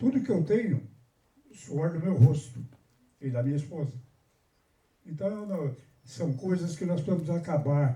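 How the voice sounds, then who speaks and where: A man with a fairly high, somewhat breathy voice and a dark, mellow tone speaks fairly slowly with lively intonation. His speech has long, frequent pauses. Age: 80s+. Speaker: carnival samba school veteran. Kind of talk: panel discussion speech. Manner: halting, with repetitions.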